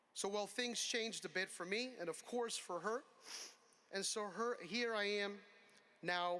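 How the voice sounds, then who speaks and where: A man's high-pitched, raised, projected voice with an American accent and a bright, sharp tone, at a fairly slow pace with long, frequent pauses, ordinary pitch variation and very even loudness. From Connecticut, US. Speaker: commencement speaker. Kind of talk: commencement speech. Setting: outdoor amphitheater with audience.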